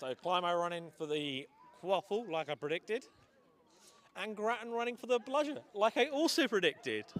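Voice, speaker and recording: A man's high-pitched voice with very wide pitch swings. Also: moderate pace. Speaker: sports commentator. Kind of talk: live commentary. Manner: stumbling over words.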